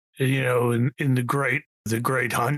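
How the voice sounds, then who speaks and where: Putting on a raspy character voice, a man speaks at medium pitch and a moderate pace in a monotone, flat intonation, with a dry, close sound and no echo. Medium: actual play. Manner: hesitant, halting, full of fillers.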